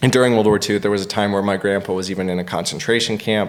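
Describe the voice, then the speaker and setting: In an American accent, a man with a fairly low pitch speaks with monotone, flat intonation over noticeable background noise. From United States. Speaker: stand-up comedian. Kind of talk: podcast interview answer.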